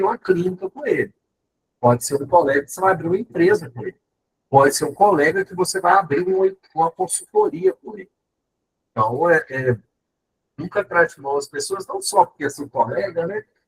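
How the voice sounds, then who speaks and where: Talking at a fairly quick pace, a man has a high pitch and lively intonation. His loudness swings widely. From Minas Gerais, Brazil. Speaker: professor. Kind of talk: lecture.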